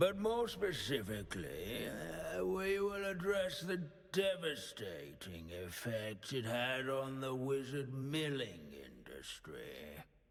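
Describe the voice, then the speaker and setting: With light background noise behind him, a man does a put-on character voice at a medium pitch. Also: fairly slow pace. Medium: video game. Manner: pedantic, droning, absent-minded.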